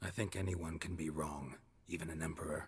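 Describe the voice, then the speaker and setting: A man puts on a raspy character voice, very deep and low in pitch, moving at a fairly quick pace. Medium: video game. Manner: dry, terse, sardonic.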